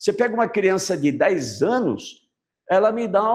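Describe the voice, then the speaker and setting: A man is speaking. His pace is fairly slow. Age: 60s. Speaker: biology teacher. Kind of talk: lecture. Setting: classroom with online students. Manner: animated.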